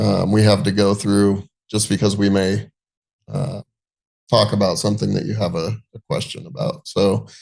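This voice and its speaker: With vocal fry and a fairly low pitch, a man talks at a moderate pace with long, frequent pauses. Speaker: real estate agent. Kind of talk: webinar presentation. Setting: video call. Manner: monotone; casual, hesitant with many fillers.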